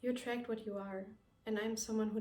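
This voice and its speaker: A woman with a non-native accent, plus noticeable background noise and audible room echo. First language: not English. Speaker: vlogger. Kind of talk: personal reflective monologue. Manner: careful, non-native pronunciation.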